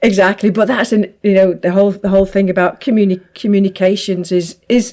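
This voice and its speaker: This woman has a dark, mellow tone at a medium pitch. Her intonation stays fairly even. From northern England, Manchester. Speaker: podcast host, business owner. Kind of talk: casual chat. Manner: fast, tempered by conscious enunciation.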